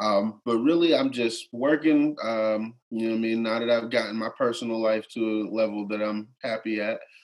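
A man with an American accent speaks at a moderate pace and a medium pitch, with hardly any pauses. It is an unremarkable speaking voice with fairly even intonation. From McKeesport, Pennsylvania. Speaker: musician. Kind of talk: casual interview.

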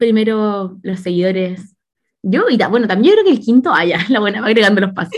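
A woman with a Chilean accent speaks at a fairly quick pace, her medium-pitched voice somewhat breathy and her pitch varying in an ordinary way. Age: 20s. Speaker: podcast host. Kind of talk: casual chat.

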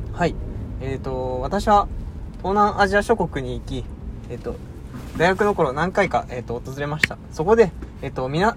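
The recording has noticeable background noise. A man speaks over it at a fairly quick pace. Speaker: podcast co-host. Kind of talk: mock job interview role-play; casual chat. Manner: halting, many fillers; awkward formal speech.

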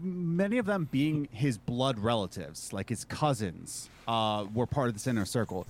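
This man has an American accent. His pitch swings very widely. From US Northeast, Philadelphia. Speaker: musician and podcaster. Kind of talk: casual chat.

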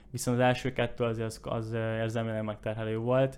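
A man talks in a monotone, flat delivery at a medium pitch. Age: 20s. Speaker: entrepreneur. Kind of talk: casual chat.

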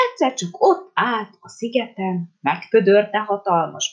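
With little sound behind it, a text is read aloud in a natural voice.

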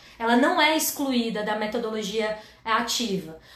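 An animated voice with very wide pitch swings rings out amid audible room echo. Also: woman. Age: 30s. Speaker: educator and live-stream host. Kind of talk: educational livestream talk.

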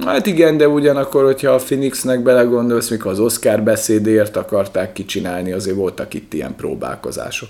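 A man with a dark, mellow tone speaks at medium pitch and a fairly quick pace, with hardly any pauses. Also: lively intonation. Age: 30s. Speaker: podcast co-host. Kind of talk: casual chat. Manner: animated.

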